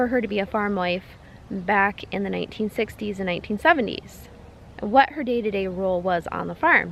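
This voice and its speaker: A woman talks at a moderate pace with ordinary pitch variation in an unremarkable speaking voice. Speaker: farmer. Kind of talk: casual talk to camera.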